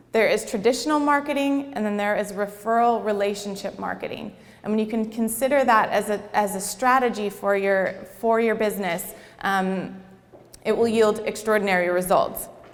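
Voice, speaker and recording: Audible room echo around fairly even intonation at a moderate pace. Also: woman, fairly high pitch for a woman. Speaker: networking and marketing coach. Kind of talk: workshop presentation to a live audience.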